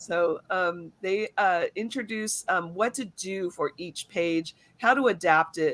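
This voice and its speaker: Pitch varies in an ordinary way. It is a normal speaking voice. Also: woman. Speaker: educator and show co-host. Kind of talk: live webinar presentation. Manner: many filler words.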